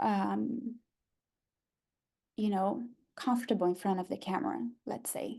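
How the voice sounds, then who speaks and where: A dark, mellow voice in a Brazilian Portuguese accent, very slow, with ordinary pitch variation against a quiet background. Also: woman. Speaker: photographer and workshop teacher. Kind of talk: online workshop talk.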